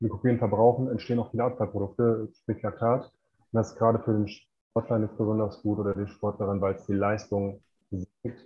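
A man speaks at a moderate pace with a medium pitch, somewhat breathy and in a monotone, flat intonation. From Ruhr area, Germany (Bochum). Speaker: performance coach and author. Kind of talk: interview. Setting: remote call from Mexico.

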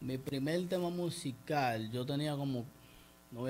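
A man's medium-pitched voice, fairly even in intonation, with audible room echo. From Dominican Republic, San Pedro de Macorís. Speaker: rapper. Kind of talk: interview.

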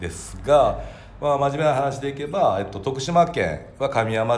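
A man talks at a moderate speed amid audible room echo and noticeable background noise. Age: 40s. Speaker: company president. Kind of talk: casual chat.

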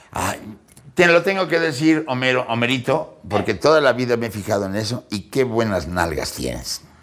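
The delivery has an animated tone at a moderate pace. Pitch swings very widely. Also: man, medium pitch for a man. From Mexico City. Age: 60s. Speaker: comedian. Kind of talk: casual chat.

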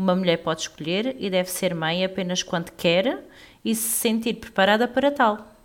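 This woman has a plain, everyday voice, medium in pitch, with ordinary pitch variation and a moderate pace. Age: 30s. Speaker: podcast co-host. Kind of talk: casual chat.

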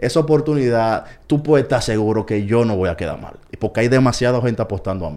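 The speech races at a very fast pace, with lively intonation, big swings in loudness, and a dark, mellow tone. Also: man, medium pitch for a man. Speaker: baseball commentator. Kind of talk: casual chat.

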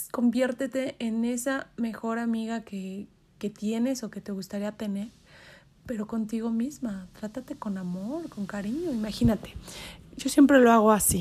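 At a fairly slow pace and fairly high pitch, a woman with a Mexican accent sounds somewhat breathy, her loudness swinging widely while her pitch varies in an ordinary way. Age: 30s. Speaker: podcast host. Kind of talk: casual monologue. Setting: in bed.

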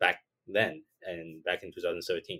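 Lively intonation marks this man's speech in a Chinese accent. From Taiwan. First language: Mandarin Chinese. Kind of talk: podcast interview.

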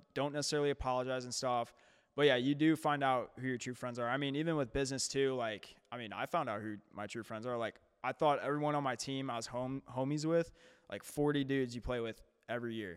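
Talking very fast with fairly even intonation, a man speaks in an American accent. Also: medium pitch for a man. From St. Louis area, Missouri. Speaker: fitness coach. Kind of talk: casual chat.

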